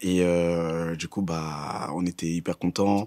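This man speaks very slowly, his pitch very deep and low. The background is quiet. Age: 20s. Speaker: student; interviewee. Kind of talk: testimony. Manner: halting. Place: studio.

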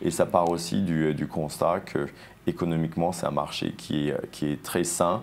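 At a moderate pace, a man speaks in a very deep, low pitch with fairly even intonation. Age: 50s. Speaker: entrepreneur, sportswear brand co-founder; guest. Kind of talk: TV interview. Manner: frequent word repetitions and hesitations. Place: studio.

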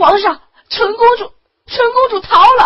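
A woman uses a put-on character voice at an extremely high pitch. She talks at a fairly slow pace with ordinary pitch variation. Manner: tearful, panicked.

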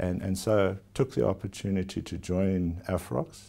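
Very deep and low in pitch, a man with a South African accent talks fairly slowly in a dark, mellow tone. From South Africa (KwaZulu-Natal). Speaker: company chief executive. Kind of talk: formal TV interview. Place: office. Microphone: lapel.

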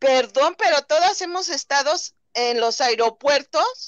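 A high-pitched woman speaks at a moderate pace with lively intonation. The sound is dry with no echo, and the background is quiet. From Mexico. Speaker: viewer joining live stream; livestream guest or host. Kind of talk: casual chat. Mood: opinionated, critical. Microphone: video call.

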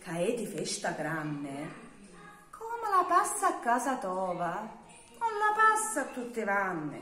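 With an audible room echo and music in the background, a woman speaks very slowly in a southern Italian accent. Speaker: poetry reciter. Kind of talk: dialect poetry reading. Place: home room. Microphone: phone near.

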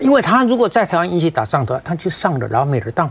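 The speaker is a man with a high-pitched voice. His pitch swings very widely. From Taiwan. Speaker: former legislator, political commentator; panel guest commentator. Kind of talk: political talk show panel discussion. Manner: animated. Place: studio. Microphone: lapel.

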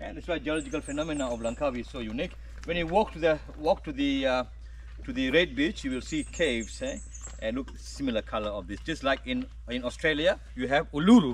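Words come from a man at a very fast pace. The sound is dry with no echo, over light background noise. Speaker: nature guide. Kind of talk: guided tour explanation. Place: forest. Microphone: camera far.

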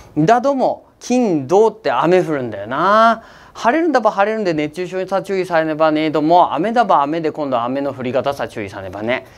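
A man's high-pitched voice with hardly any pauses, big swings in loudness and very wide pitch swings. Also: moderate pace. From Akita, Japan. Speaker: weather forecaster. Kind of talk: casual weather forecast talk to camera. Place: studio. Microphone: lapel.

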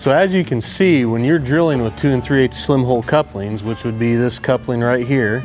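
Clear background music under a man's moderately paced speech. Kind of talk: tutorial. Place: workshop. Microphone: lapel.

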